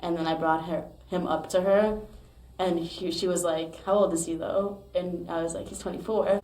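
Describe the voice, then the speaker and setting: A woman's fairly low, monotone, flat voice at a moderate pace, with audible room echo and noticeable background noise. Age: 20s. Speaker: podcast host. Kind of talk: casual interview chat.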